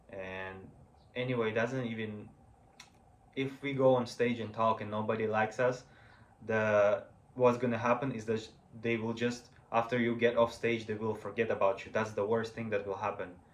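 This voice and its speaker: A man with a non-native accent speaks at a moderate pace and medium pitch. His intonation is monotone and flat, with long, frequent pauses. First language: not English. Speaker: vlogger practicing public speaking. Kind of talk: impromptu solo speech to camera. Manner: halting, many fillers and restarts.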